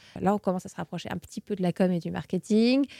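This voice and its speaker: Talking at a very fast pace, a woman has a dark, mellow tone and fairly even intonation. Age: 20s. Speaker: communications manager. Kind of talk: interview. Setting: studio. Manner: hesitant, many fillers.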